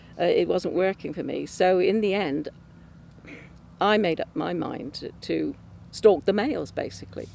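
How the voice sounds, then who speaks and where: The speaker has an English accent and leaves long, frequent pauses. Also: woman, moderate pace. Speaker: churchgoer giving testimony. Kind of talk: testimony. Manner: halting, many fillers.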